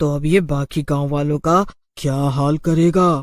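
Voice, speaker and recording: In a cartoonish character voice, a man speaks at a fairly slow pace and a fairly high pitch. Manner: exclamatory, sharp-tongued.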